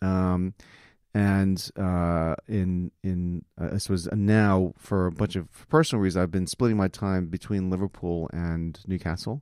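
A man with an American accent speaks fairly slowly in a very deep, low pitch and a dark, mellow tone, with fairly even intonation, a dry, close sound with no echo, and a very clean recording over a silent background. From New York City area, US. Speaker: conference founder, visiting professor. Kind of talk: casual interview. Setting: studio.

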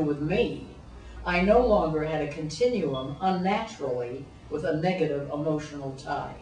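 Over noticeable background noise and audible room echo, the voice moves at a moderate pace with ordinary pitch variation. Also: woman. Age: 80s+. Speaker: college professor. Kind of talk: interview testimony. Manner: halting.

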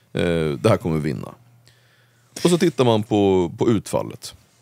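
A man with vocal fry and a dark, mellow tone speaks fairly low at a moderate pace, his pitch swinging very widely. The sound is dry and close with no echo. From Sweden, Uppsala (Gottsunda). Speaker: political commentator. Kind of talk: casual interview.

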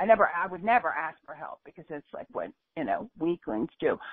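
A woman speaks in a fairly low voice. Her intonation is lively. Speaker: caller. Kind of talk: casual chat. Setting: phone on speaker. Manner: halting, hesitant.

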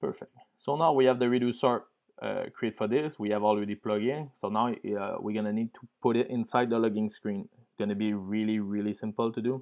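A man's fairly quick delivery with vocal fry and fairly even intonation. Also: fairly low pitch for a man.

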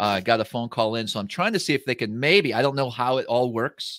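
Against a quiet background, a man talks at a fairly quick pace, the sound dry with no echo. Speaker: livestream host. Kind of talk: casual livestream talk. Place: home room.

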